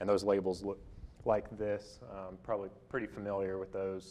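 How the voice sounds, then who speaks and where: A man speaks in a Tennessee accent with a very deep, low pitch. His pace is moderate. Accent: US South, Tennessee. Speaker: utility energy efficiency presenter. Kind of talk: lecture. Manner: hesitant with fillers.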